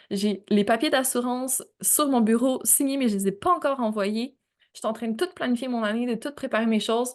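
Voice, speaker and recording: A woman speaks at a moderate pace with a fairly high pitch against a quiet background. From Quebec. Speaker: podcast host. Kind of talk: personal storytelling monologue. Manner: casual, conversational.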